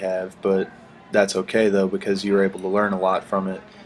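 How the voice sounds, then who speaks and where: Over background music, the man's voice sits fairly low in pitch. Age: 20s. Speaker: podcast host. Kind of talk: casual interview.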